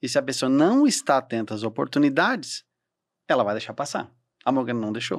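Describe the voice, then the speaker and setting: Against a quiet background, a man speaks fairly quickly at a medium pitch with ordinary pitch variation. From Santa Catarina, southern Brazil. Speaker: events entrepreneur and mentor; podcast co-guest or host. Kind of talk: podcast interview. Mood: warm, animated, faith-inspired. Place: studio. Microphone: studio mic.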